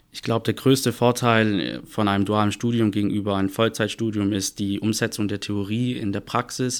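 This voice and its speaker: A man speaks in a plain, everyday voice, fairly low in pitch with fairly even intonation and a moderate pace. There are hardly any pauses, and the recording is very clean with a silent background. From Stuttgart, Swabia (southwest Germany). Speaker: audit and tax assistant, former dual student. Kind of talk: podcast interview.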